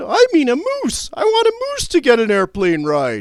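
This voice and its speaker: A man does a put-on character voice at an extremely high pitch, keeping a moderate pace. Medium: read story. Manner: innocent, earnest.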